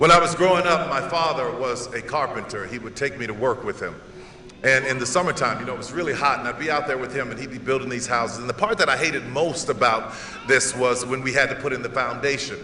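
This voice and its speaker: A man with an American accent at a medium pitch, talking very fast with ordinary pitch variation, audible room echo and noticeable background noise. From US South, New Orleans. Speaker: motivational speaker. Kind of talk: commencement speech.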